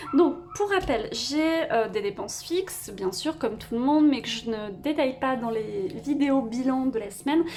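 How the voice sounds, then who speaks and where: A woman at a high pitch with very wide pitch swings, a fairly slow pace, hardly any pauses, and noticeable background noise. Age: 20s. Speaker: budgeting vlogger. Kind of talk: personal finance vlog. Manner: hesitant, many fillers.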